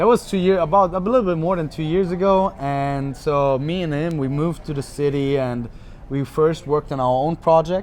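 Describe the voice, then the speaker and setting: Speaking fairly quickly, a man with a German accent uses a fairly high pitch and ordinary pitch variation. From Germany, Munich. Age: 20s. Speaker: podcast guest, sales worker at a tech company. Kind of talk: casual interview.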